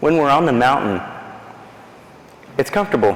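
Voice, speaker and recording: A man talks at a fairly high pitch. Noticeable background noise and audible room echo accompany him. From East Texas. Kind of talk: faith talk to a church audience. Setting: church with audience and microphone. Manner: animated.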